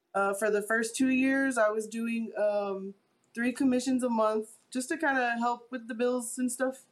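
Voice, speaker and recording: Her fairly high pitch and fairly even intonation mark this woman's plain, everyday voice. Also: fairly slow pace. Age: 30s. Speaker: painter. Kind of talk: interview.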